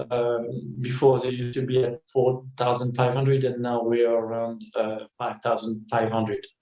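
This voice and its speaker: Speaking in a French accent at a medium pitch, a man keeps a moderate pace with hardly any pauses and monotone, flat intonation. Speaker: winemaker. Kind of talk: interview. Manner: halting, many fillers.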